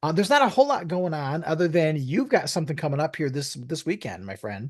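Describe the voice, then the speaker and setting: A man talks at a very fast pace, his pitch fairly high and his intonation lively. The background is quiet. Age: 60s. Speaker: podcast co-host. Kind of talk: casual chat.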